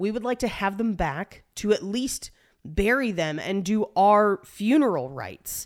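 In a normal speaking voice, a woman talks at a fairly slow pace and a medium pitch with lively intonation. The recording is very clean, with a silent background. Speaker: podcast host. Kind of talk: casual comedic banter with scripted history narration. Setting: home recording space, echoey room. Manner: jokey, casual.

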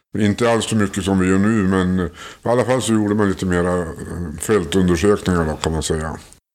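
Very deep and low in pitch, a man speaks with fairly even intonation. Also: very clean recording, silent background. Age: old. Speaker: retiree, ufo association board member. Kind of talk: interview.

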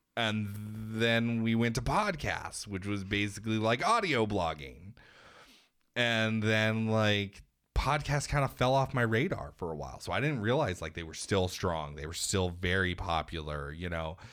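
A man with a plain, everyday voice speaks at a moderate pace with a fairly low pitch and lively intonation. The recording is very clean, with a silent background. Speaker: podcast co-host. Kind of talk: casual chat.

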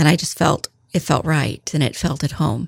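In a dry, close sound with no echo, a woman speaks at a very deep, low pitch with vocal fry and fairly even intonation. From central Illinois, US Midwest. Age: 50s. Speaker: retired school office manager, tornado survivor. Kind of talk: interview storytelling. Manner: hesitant, many fillers.

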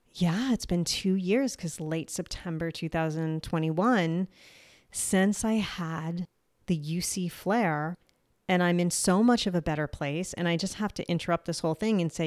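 A woman with a New Jersey accent and a fairly low pitch speaks at a fairly slow pace in an upbeat tone with ordinary pitch variation, on a very clean recording with a silent background and a dry, close sound with no echo. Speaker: health podcast host sharing personal illness journey. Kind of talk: solo podcast monologue. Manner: casual and upbeat.

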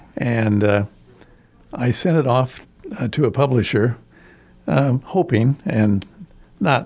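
This is a man speaking. He has a Midwestern American accent. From US Midwest, rural Iowa. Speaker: retired English teacher and volunteer reader. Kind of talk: interview. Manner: halting, many fillers.

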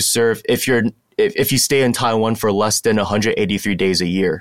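Speaking at a moderate pace, a man uses a plain, everyday voice at medium pitch with ordinary pitch variation. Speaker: alternative military service member. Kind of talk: casual chat. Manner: many filler words.

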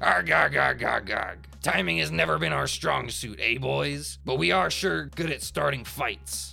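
A man does a put-on character voice, fairly high for a man, with a bright, sharp tone, vocal fry, and lively intonation. He goes at a fairly slow pace while faint music plays in the background.

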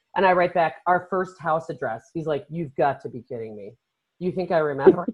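Her voice fairly low with vocal fry, a woman speaks at a moderate pace with lively intonation. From Chicago northern suburbs, US Midwest. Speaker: podcast host, travel agent. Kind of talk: casual chat.

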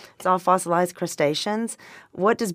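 Speaking at a moderate pace with a Southern US accent, the voice comes through on a very clean recording with a silent background. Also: woman. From Arkansas. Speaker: wine distributor and vintner. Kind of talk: casual interview chat. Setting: studio.

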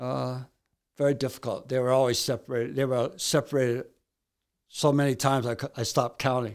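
This man speaks at a fairly quick pace in a medium pitch with monotone, flat intonation. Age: 60s. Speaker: author and amateur baseball pitcher in recovery. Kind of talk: interview storytelling. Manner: nervous.

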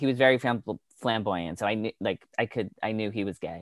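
This man talks with lively intonation in an ordinary speaking voice. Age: 40s. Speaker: entertainment interviewer and podcast host. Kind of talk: casual chat.

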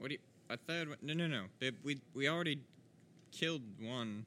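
Speaking at a fairly quick pace, a man with a medium pitch and a bright, sharp tone uses ordinary pitch variation.

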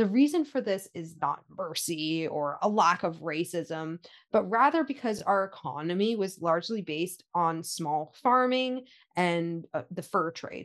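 Speaking with a Canadian accent over a quiet background, a woman with an unremarkable speaking voice uses lively intonation at medium pitch and a moderate pace. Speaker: podcast co-host, heritage organization staff. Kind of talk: scripted history podcast narration.

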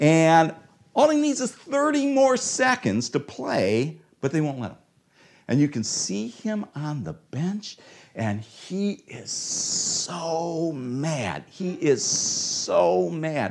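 Talking at a very slow pace with an American accent, a man with a fairly high pitch makes very wide pitch swings on a very clean recording with a silent background. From Ohio, US. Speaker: preacher. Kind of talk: sermon.

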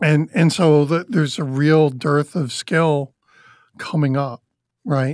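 On a very clean recording against a silent background, the words unfold at a very slow pace. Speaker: podcast host. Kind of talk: casual interview chat. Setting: studio.

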